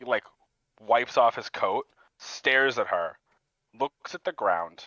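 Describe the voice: Someone does plain reading aloud, with the background quiet.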